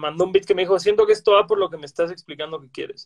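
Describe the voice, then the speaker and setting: A man's high-pitched voice with a Mexican accent, dry and close, with no echo. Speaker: podcast host. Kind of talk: casual chat.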